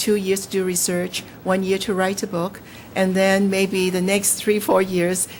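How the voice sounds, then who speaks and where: A woman with a Cantonese accent speaks at a moderate pace and a medium pitch. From Hong Kong. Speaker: novelist. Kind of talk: interview. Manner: halting.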